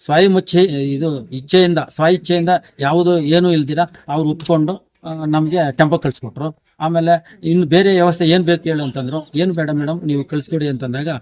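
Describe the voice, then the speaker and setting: It is an ordinary speaking voice with fairly even intonation. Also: man, fairly high pitch for a man. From Karnataka, Chikkaballapur district. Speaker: retired school teacher. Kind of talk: interview.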